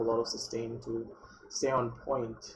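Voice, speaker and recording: Over noticeable background noise and audible room echo, a man speaks quietly at a medium pitch in a monotone, flat intonation. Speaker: esports caster. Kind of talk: live commentary. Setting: live stream. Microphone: cheap USB webcam mic.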